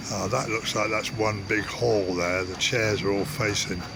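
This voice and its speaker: The recording has noticeable background noise and audible room echo. A man with an English accent speaks at a fairly low pitch. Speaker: travel vlogger. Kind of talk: casual vlog narration. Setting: outdoors, riding and walking around a market.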